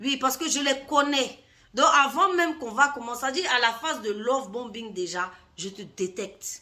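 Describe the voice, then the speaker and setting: At a moderate pace, a woman with a high pitch uses a raised, projected voice, lively intonation and big swings in loudness. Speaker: life coach. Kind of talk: vlog monologue. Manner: hesitant, with fillers.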